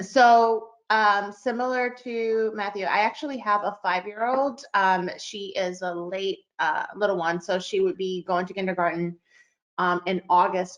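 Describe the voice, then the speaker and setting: With a quiet background, a woman talks at medium pitch, her pitch varying in an ordinary way. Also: fairly slow pace. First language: not English. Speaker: parent. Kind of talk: casual chat.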